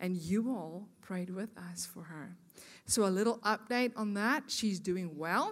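A woman with a South African accent, medium pitch, ordinary pitch variation, a fairly slow pace and big swings in loudness, on a very clean recording with a silent background. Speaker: guest speaker at women's church event. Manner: warm, chatty, engaging.

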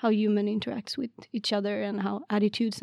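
With a Swedish accent, a woman speaks at a fairly high pitch and a fairly quick pace. Her intonation is monotone and flat. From Sweden, Värmland. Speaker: PhD student in wildlife ecology. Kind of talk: casual interview.

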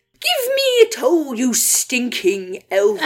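A woman uses a put-on character voice, high in pitch and at a very slow pace. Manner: greedy, grumpy, spiteful.

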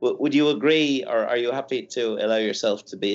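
Someone with an Irish accent speaks at a fairly quick pace. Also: man. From Ireland. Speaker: marketing scholar. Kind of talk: casual academic discussion.

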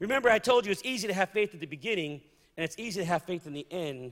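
Talking at a fairly quick pace, a man sounds animated, his pitch swinging very widely. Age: 50s. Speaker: preacher. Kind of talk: sermon.

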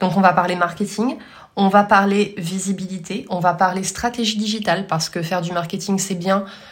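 A woman with a medium-pitched, somewhat breathy voice speaks at a moderate pace. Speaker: podcast host, marketing consultant. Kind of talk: solo podcast monologue.

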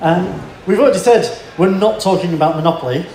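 Noticeable background noise accompanies a man talking at a moderate speed. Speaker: family support worker and co-presenter. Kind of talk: conference talk. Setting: stage with audience.

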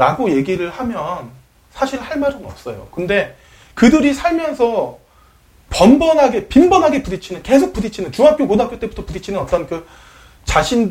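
A man speaks at a moderate pace with an extremely high pitch, very wide pitch swings and big swings in loudness. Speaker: podcast host. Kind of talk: casual chat.

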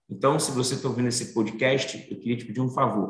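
Moving at a fairly quick pace, a man holds a medium pitch in a monotone, flat intonation. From Brazil, Bahia (Salvador). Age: 40s. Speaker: finance professional and diversity advocate. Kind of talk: interview.

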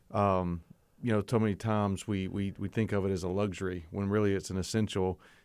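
On a very clean recording with a silent background, a man with a Southern US accent speaks fairly quickly. His fairly low voice has monotone, flat intonation. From coastal North Carolina. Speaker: seminary provost and preaching professor. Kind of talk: casual interview.

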